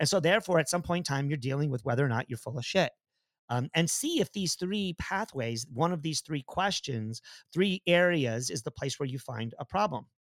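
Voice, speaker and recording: The audio is dry and close with no echo. A man speaks fairly quickly. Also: fairly high pitch for a man, very clean recording, silent background. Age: 50s. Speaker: podcast host and running coach. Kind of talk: casual chat. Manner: halting with many fillers.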